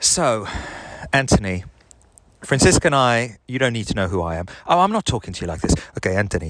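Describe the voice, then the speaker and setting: A man with a slight South African accent talks at a fairly quick pace with very wide pitch swings. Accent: slight Afrikaans-tinged South African. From South Africa, Benoni. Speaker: podcaster. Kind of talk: casual chat. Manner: rambling with fillers.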